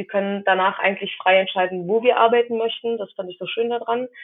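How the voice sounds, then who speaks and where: Her intonation is fairly even and her pace moderate. The woman has a medium pitch and an unremarkable speaking voice. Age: 20s. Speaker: physician assistant student and medical assistant. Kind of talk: interview.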